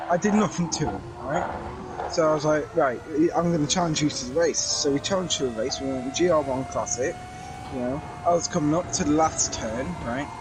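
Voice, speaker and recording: Over music in the background, a man with a British accent talks in a fairly high voice with ordinary pitch variation. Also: fairly quick pace. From Britain. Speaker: sim racing driver. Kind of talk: casual chat.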